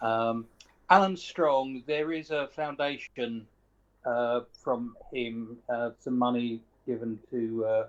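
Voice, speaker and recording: Speaking at medium pitch, a man keeps his intonation fairly even. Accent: southern English. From southern England (Sussex). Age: 60s. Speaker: professional guitarist and music educator. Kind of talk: interview.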